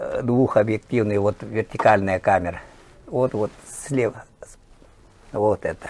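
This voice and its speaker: A man speaks at a very slow pace with long, frequent pauses. There is noticeable background noise. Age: 60s. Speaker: teacher and sports journalist. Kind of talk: interview.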